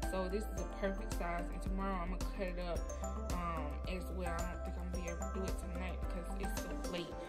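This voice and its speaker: Loud music plays behind a voice speaking at a fairly quick pace. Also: woman. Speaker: cooking vlogger. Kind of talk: casual vlog chat. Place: kitchen. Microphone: phone near.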